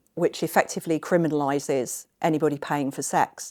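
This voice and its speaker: Heard on a very clean recording with a silent background, a normal speaking voice moves at a moderate pace with ordinary pitch variation. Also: woman. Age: 50s. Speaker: escort. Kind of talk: interview answer.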